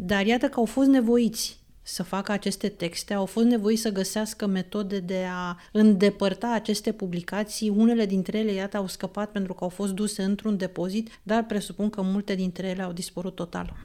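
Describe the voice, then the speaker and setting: The voice has a dark, mellow tone and monotone, flat intonation. It moves at a moderate pace on a very clean recording with a silent background. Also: woman, medium pitch for a woman. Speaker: radio host. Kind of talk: radio interview. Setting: radio studio.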